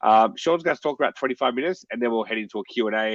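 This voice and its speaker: Against a quiet background, a man talks at a medium pitch with ordinary pitch variation, the sound dry and close with no echo. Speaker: webinar host. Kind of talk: webinar introduction. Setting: online webinar. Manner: halting, many fillers.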